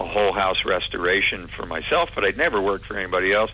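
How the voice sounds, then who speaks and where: At a fairly quick pace, a man with an ordinary speaking voice speaks at a fairly low pitch with fairly even intonation. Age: 60s. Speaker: former TV announcer turned handyman. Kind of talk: casual interview chat.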